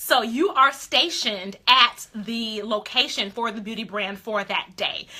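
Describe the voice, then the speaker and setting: A woman speaks at a fairly slow pace and a fairly high pitch, with ordinary pitch variation and an animated tone. She leaves hardly any pauses, and noticeable background noise can be heard. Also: big swings in loudness. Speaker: beauty influencer coach. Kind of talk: live stream coaching talk. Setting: live stream.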